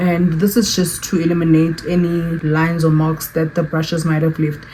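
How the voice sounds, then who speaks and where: A woman talks at a fairly quick pace with a fairly low pitch. Noticeable background noise runs underneath. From South Africa. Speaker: beauty YouTuber. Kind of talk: makeup tutorial. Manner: fast.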